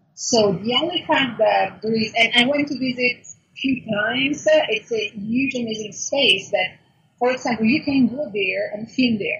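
At a moderate pace, a woman talks with high pitch and ordinary pitch variation. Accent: Italian. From Italy, Milan. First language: Italian. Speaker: food blogger and YouTuber. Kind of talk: interview. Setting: call.

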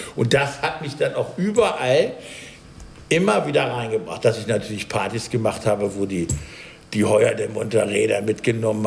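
A medium-pitched man amid noticeable background noise. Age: 50s. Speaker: baker. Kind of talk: casual chat. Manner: animated.

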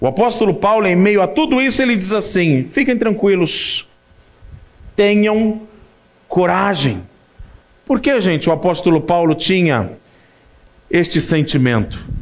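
Speaking very slowly with long, frequent pauses, a man with high pitch uses lively intonation at very even loudness. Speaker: preacher. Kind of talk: sermon. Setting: church. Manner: warm, pastoral; humorous, relaxed.

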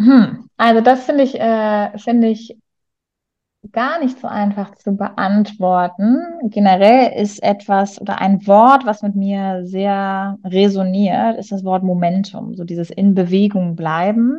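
At a very slow pace, a woman speaks with a dark, mellow tone, medium pitch and ordinary pitch variation. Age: 30s. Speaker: teacher and coach. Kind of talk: interview. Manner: hesitant, many fillers.

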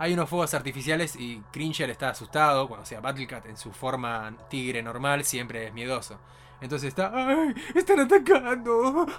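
Speaking at a moderate pace, a man with a plain, everyday voice and a fairly high pitch uses lively intonation, with big swings in loudness. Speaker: podcast co-host. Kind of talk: casual chat.

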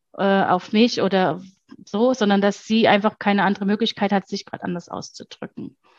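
This woman has a medium pitch and an unremarkable speaking voice. The sound is dry and close, with no echo. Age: 40s. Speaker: mother, former mentoring client. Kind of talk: interview testimony.

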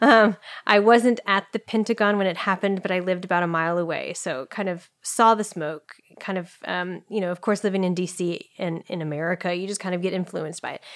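A woman speaks at a fairly quick pace with a medium pitch and fairly even intonation. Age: 30s. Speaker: marathon runner and professor. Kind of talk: interview conversation. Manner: hesitant with many fillers.

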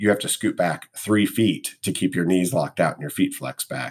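With hardly any pauses, a man of fairly low pitch speaks at a moderate pace in an unremarkable speaking voice, his loudness swinging widely. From US Midwest, Missouri (St. Louis). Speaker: acupuncturist. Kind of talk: interview conversation.

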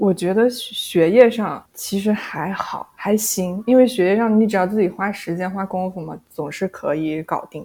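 A plain, everyday voice at a moderate pace, with hardly any pauses, big swings in loudness and ordinary pitch variation. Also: woman, medium pitch for a woman. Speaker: former bank employee and graduate student. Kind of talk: casual interview.

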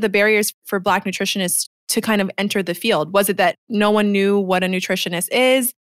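A woman speaks at a moderate pace in an unremarkable speaking voice, her medium pitch captured in a dry, close sound with no echo. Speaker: podcast co-host, clinician. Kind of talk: casual interview conversation. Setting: recording remotely from Aruba.

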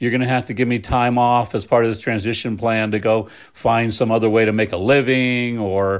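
In a normal speaking voice, a man talks at a moderate pace and a medium pitch. His intonation stays fairly even against a quiet background. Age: 50s. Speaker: pastor. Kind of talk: interview conversation. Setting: home.

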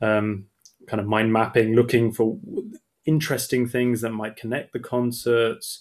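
Speaking with an English accent, a man talks at a moderate pace and medium pitch with fairly even intonation. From England. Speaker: opera singer. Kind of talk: casual interview.

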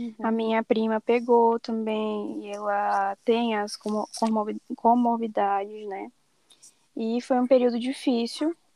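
A woman with a fairly high pitch, a dark, mellow tone, monotone, flat intonation and a very slow pace, in a dry, close sound with no echo. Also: very clean recording, silent background. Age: 20s. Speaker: journalism student. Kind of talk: casual chat.

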